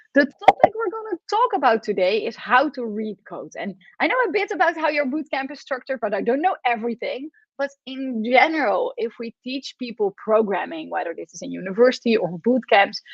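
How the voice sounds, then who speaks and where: Speaking at a fairly quick pace with a Dutch accent, the woman uses a high pitch, very wide pitch swings and big swings in loudness. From Netherlands. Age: 40s. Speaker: professor. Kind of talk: lecture.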